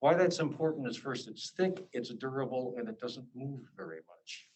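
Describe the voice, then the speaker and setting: With an American accent, a man of medium pitch talks at a moderate pace with ordinary pitch variation. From Alaska. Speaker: visiting scholar, lecturer. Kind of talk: lecture. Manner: halting, with fillers and repetitions.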